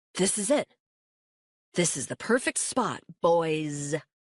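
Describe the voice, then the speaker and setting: A put-on character voice at a middle pitch, drawling at a fairly slow pace. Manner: triumphant, drawling the final word.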